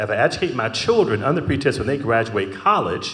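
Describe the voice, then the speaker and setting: A man's very fast speech with audible room echo. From US Midwest, Detroit. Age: 60s. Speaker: panelist, corporate finance professional. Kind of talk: panel discussion.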